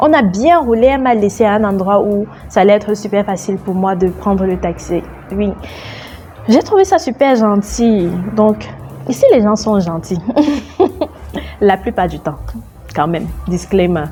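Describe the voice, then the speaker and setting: A woman at medium pitch with a Cameroonian accent and lively intonation, at a fairly slow pace with long, frequent pauses, with music in the background. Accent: Cameroonian French accent, noticed by Kenyans. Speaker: travel vlogger. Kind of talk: travel vlog narration. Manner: casual, chatty.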